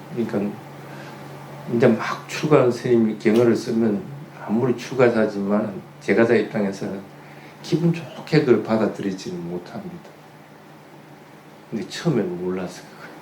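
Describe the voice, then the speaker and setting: The speaker has a Gyeongsang accent, lively intonation and big swings in loudness at a moderate pace with long, frequent pauses. Room echo is audible, and there is noticeable background noise. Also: man, medium pitch for a man. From Gyeongsang region, Korea. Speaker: Buddhist monk giving a dharma talk. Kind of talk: sermon.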